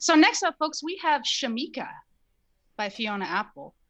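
Over a quiet background, a woman with an ordinary speaking voice talks at a fairly quick pace with lively intonation. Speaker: radio host. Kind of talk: community radio DJ patter between songs. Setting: radio studio, pre-recorded show. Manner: friendly, chatty, casual, with filler 'um' and 'uh'.

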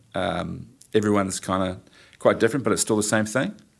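Fairly low in pitch, a man speaks with a New Zealand accent. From New Zealand, New Plymouth. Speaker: event company owner and production manager. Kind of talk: interview, casual chat.

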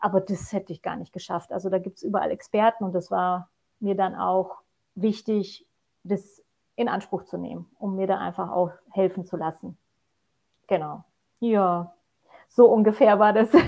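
A woman's medium-pitched voice, dark and mellow, at a moderate pace with fairly even intonation and long, frequent pauses. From Poland. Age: 40s. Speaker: mountain hiking guide. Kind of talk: podcast interview.

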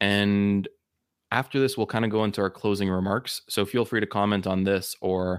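A man with a normal speaking voice talks in a fairly low pitch and fairly even intonation, the sound dry and close with no echo. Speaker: podcast host. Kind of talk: casual interview chat. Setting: remote video call.

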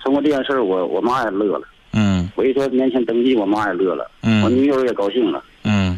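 With hardly any pauses, a man speaks at a fairly quick pace and medium pitch over noticeable background noise. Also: ordinary pitch variation. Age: 30s. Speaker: caller. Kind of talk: phone-in call. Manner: halting, repetitive.

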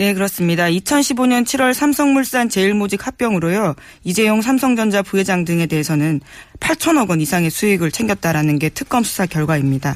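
A woman at a medium pitch talks at a moderate pace with very wide pitch swings and very even loudness. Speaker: journalist. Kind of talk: news briefing.

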